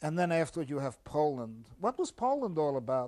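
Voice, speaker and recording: Heard on a very clean recording with a silent background, a man uses a normal speaking voice, fairly high in pitch, at a moderate pace. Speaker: anarchist author giving a critical reading of a magazine. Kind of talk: ironic critical commentary to camera. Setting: studio. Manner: sarcastic, wry.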